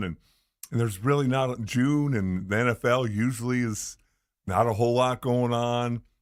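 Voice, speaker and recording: Recorded very cleanly against a silent background, a man with an American accent talks with fairly even intonation. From California. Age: 60s. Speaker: radio sports co-host, former NFL player. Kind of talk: casual chat. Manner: halting, repeats words.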